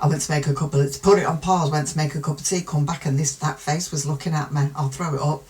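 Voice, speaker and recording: A very fast woman's voice in a British accent, very deep and low, with fairly even intonation and hardly any pauses. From UK. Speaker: true crime youtuber. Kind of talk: casual commentary.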